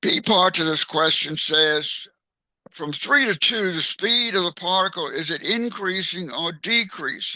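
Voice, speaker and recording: With a bright, sharp tone, a man talks at a high pitch with ordinary pitch variation. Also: fairly slow pace. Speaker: math teacher. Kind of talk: tutorial. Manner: slow; halting.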